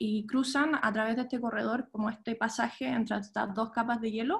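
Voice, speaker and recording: Fairly even intonation carries the talking along at a moderate pace. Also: woman. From Chile, moved to the US at 13. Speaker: archaeologist. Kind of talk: lecture. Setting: video call. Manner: halting, many fillers.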